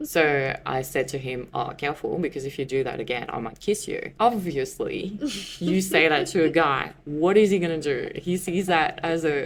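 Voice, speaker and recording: Against noticeable background noise, a woman with a very deep, low pitch talks at a moderate pace with ordinary pitch variation. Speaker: podcast guest sharing love story. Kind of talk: personal storytelling interview.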